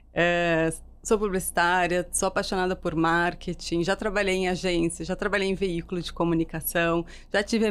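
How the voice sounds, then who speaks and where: On a very clean recording with a silent background, a woman speaks at a moderate pace in a fairly low, monotone, flat voice. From Rio Grande do Sul, southern Brazil. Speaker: marketing executive. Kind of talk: interview podcast.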